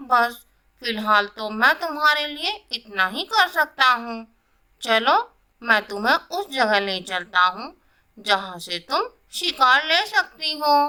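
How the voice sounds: A cartoonish character voice, female-sounding and high-pitched, moves at a fairly slow pace.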